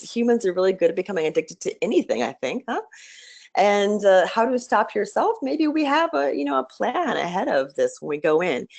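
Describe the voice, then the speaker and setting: A woman speaks at a fairly quick pace with medium pitch and vocal fry. Her pitch swings very widely over a quiet background. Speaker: diversity trainer and consultant. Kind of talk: webinar talk. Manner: halting, repetitive.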